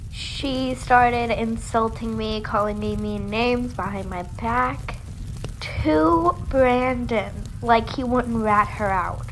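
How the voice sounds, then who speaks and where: A woman at a very slow pace, with audible room echo and noticeable background noise. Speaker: animated storytime youtuber. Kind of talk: storytime narration. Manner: casual, conversational.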